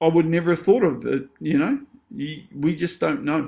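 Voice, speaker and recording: A man speaks at a moderate pace with a New Zealand accent. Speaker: actor and stunt performer. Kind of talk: casual chat. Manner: animated.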